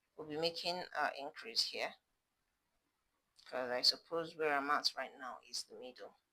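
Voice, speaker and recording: A woman with a very deep, low pitch and a bright, sharp tone speaks at a moderate pace with fairly even intonation, big swings in loudness, and long, frequent pauses. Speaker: crochet tutorial maker. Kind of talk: tutorial. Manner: casual, chatty.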